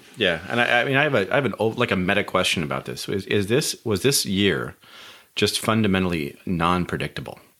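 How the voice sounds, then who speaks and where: Speaking at a fairly quick pace, a man with a fairly low pitch, vocal fry, a bright, sharp tone and lively intonation comes through a very clean recording with a silent background. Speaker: panel moderator, data scientist. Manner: halting, many fillers.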